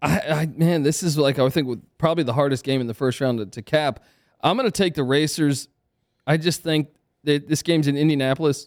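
This man has a normal speaking voice at a fairly high pitch. He talks at a fairly quick pace with ordinary pitch variation. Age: 30s. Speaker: college basketball handicapper. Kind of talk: casual chat. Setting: studio.

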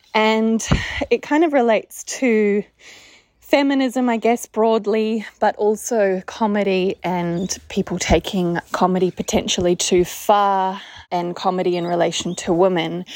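In an Australian accent, a woman speaks at a fairly slow pace with a medium pitch. The recording is very clean, with a silent background and a dry, close sound with no echo. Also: ordinary pitch variation. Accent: Australian-sounding. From New Zealand. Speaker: podcast listener. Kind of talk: voice memo question. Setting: recorded voice note.

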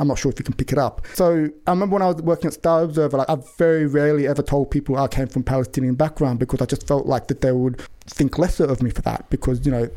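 Talking fast in a western Sydney accent, a man keeps a medium pitch, a dark, mellow tone and fairly even intonation. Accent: western Sydney Australian.

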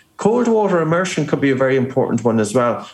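A man with an Irish accent talks with lively intonation, and the room echo is audible. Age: 40s. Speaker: breathing expert and author. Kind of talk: interview.

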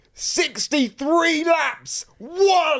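A put-on character voice pitched high. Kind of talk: sports commentary. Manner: enthusiastic.

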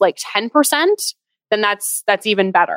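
A woman with an unremarkable speaking voice talks at a fairly high pitch with lively intonation, in a very clean recording with a silent background and a dry, close sound with no echo. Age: 20s. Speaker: personal finance expert and business owner. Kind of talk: interview on a podcast.

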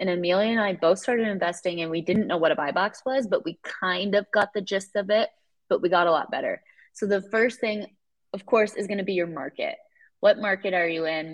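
Using a plain, everyday voice, a woman with an American accent speaks at a fairly quick pace in a medium pitch with ordinary pitch variation. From Iowa. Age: 20s. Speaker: real estate investor. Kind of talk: interview.

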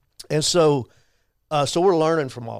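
A man speaks with a Texan accent. His pitch varies in an ordinary way. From Texas, Abilene. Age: 60s. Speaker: faith-based campaign director. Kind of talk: podcast interview.

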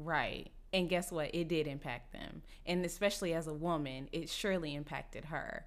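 Fairly low in pitch, a woman with an American accent and an ordinary speaking voice talks at a moderate pace with fairly even intonation. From Texas, Dallas. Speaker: podcast host and comedian. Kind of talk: casual chat.

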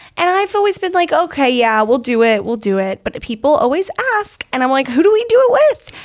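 Her pitch high and swinging very widely, a woman talks at a fairly quick pace against noticeable background noise. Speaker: podcast host. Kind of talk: casual chat. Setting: studio.

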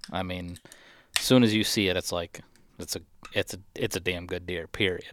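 Speaking with an American accent, a man with a very deep, low pitch keeps a moderate pace and fairly even intonation, taking long, frequent pauses on a very clean recording with a silent background. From Michigan. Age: 30s. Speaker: deer hunter. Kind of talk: casual chat. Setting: studio.

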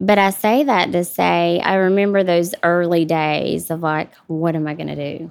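Speaking in a Southern US accent, the voice keeps fairly even intonation with hardly any pauses. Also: woman, fairly low pitch for a woman, moderate pace. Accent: Southern US (Georgia). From US South, South Georgia. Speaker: widowed single mother. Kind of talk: casual interview.

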